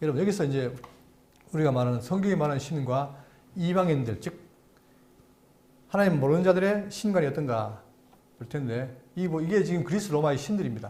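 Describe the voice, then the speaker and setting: Amid audible room echo, a man with a fairly high, somewhat breathy voice uses lively intonation and takes long, frequent pauses. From South Korea, Andong (Gyeongsang). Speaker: pastor. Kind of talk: Bible lecture. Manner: halting, stammering repeats.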